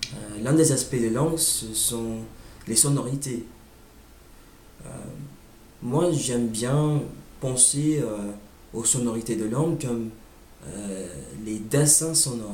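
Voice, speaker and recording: A man with an English accent talks at a very slow pace, leaving long, frequent pauses, at a medium pitch with ordinary pitch variation. Audible room echo and noticeable background noise surround him. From United States. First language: English (speaking French). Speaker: language learner vlogger. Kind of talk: informal monologue on language. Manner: halting, many hesitations.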